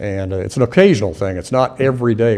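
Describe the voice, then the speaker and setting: A man's voice sits at a medium pitch, dark and mellow in tone, with ordinary pitch variation. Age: 60s. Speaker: auto repair shop owner. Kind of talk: public hearing testimony. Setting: council meeting.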